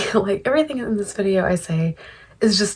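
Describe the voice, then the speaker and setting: A soft-spoken woman whispers with vocal fry. Her pace is fairly quick. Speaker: commentary youtuber. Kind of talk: casual commentary chat. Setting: home at night. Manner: whispering, soft-spoken. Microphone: quiet audio, ASMR-like quality.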